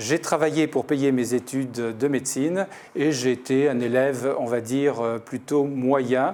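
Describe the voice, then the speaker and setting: This man's voice sits at a medium pitch, with a dark, mellow tone and fairly even intonation. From Paris, France. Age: 60s. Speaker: doctor and municipal election candidate. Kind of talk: interview portrait. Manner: hesitant, many fillers.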